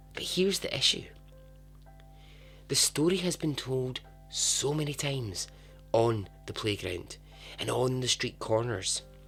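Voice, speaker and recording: A man speaking at a fairly slow pace with long, frequent pauses, music in the background. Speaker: podcast host. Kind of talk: podcast true story narration. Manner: casual, humorous.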